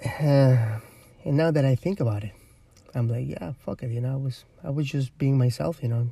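A man in a Spanish accent, medium-pitched and somewhat breathy, with a dark, mellow tone, ordinary pitch variation and a moderate pace. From Ecuador. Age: 30s. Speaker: podcast host. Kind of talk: casual monologue. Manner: rambling with many fillers.

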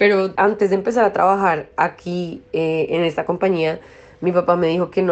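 This woman has a normal speaking voice, fairly low in pitch. She talks at a fairly quick pace with ordinary pitch variation. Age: 20s. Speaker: industrial designer. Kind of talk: interview testimony.

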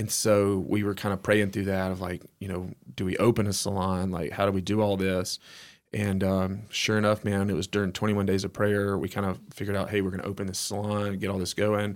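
Over a silent background in a very clean recording, a man with an Alabama accent speaks at a fairly quick pace, in a fairly low pitch with monotone, flat intonation. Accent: US Southern (Alabama). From Alabama, near Hueytown. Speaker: entrepreneur. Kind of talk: casual interview chat.

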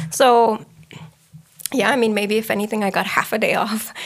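The speaker is a woman. The recording is very clean, with a silent background. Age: 30s. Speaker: real estate agent. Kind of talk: casual interview. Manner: sarcastic.

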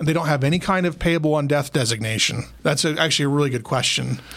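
In a normal speaking voice, a man with an American accent talks at a fairly high pitch with ordinary pitch variation, on a very clean recording with a silent background. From Utah (Logan). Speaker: probate attorney. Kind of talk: casual interview.

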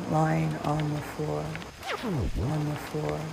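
Speaking at a very slow pace in a soothing, calm tone, the voice comes through over noticeable background noise. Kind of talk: guided meditation. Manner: slow, soothing, calm; repetitive, echoing phrases with long pauses.

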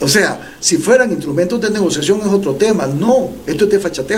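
A high-pitched man talks at a fairly quick pace, his pitch swinging very widely. Room echo and noticeable background noise are audible. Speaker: presidential pre-candidate and former professor. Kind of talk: interview.

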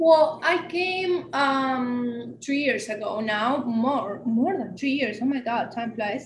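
A woman speaks at a very slow pace in an Argentine accent, her high pitch moving with ordinary variation. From Argentina. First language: Spanish. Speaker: podcast co-host. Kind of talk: casual chat.

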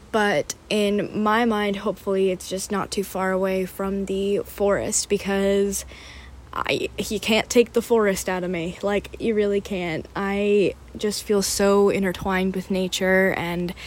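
Speaking at a fairly slow pace, a woman with an American accent keeps a monotone, flat intonation. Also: medium pitch for a woman. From Pennsylvania, US. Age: 20s. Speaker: podcast host, college student and florist. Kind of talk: casual solo monologue. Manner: casual, filler-heavy.

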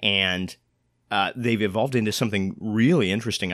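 His pitch varies in an ordinary way on a very clean recording with a silent background. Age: 20s. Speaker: arts podcast host and actor. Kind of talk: casual chat. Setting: studio.

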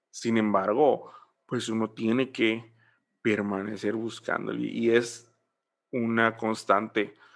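A very slow pace against a quiet background. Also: man. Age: 20s. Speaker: church musician and ministry trainer. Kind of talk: casual interview.

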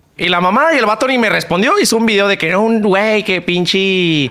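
A raised, projected voice holds very even loudness and ordinary pitch variation over noticeable background noise. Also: man. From Chihuahua, northern Mexico. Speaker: streamer and content creator. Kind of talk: casual chat.

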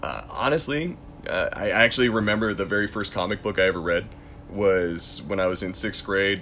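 Here a man speaks in a plain, everyday voice with a fairly low pitch. He keeps a moderate pace and ordinary pitch variation. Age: 30s. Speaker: MMA event commentator and war veteran. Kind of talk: casual chat.

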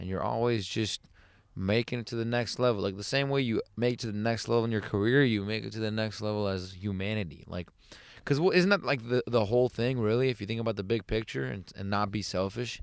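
Speech comes at a very fast pace with ordinary pitch variation. The recording is very clean, and the background is silent. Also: man. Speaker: podcast host. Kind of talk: casual banter interview. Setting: in a van. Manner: joking, teasing.

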